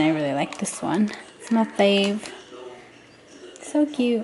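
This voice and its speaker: A woman talks at a fairly slow pace in a fairly high pitch with lively intonation. Long, frequent pauses break her speech over noticeable background noise. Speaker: lifestyle vlogger. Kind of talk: vlog narration. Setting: at home. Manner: casual, chatty.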